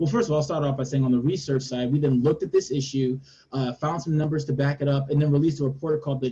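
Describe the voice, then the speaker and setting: At a very fast pace, a man speaks with fairly even intonation and a fairly high pitch, his tone dark, mellow and somewhat breathy. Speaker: policy advocate. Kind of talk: webinar panel discussion.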